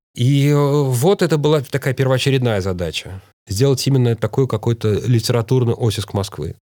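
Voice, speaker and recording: Delivered at a moderate pace, the voice has lively intonation and a dark, mellow tone. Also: man, medium pitch for a man. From Moscow, Russia. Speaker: writer and actor. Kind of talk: interview.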